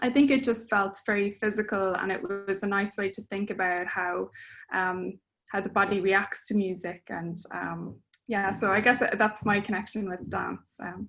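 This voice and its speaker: A woman's medium-pitched voice in an Irish accent, monotone and flat, at a fairly slow pace over music in the background. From Ireland. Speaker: composer. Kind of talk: interview. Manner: hesitant, many fillers.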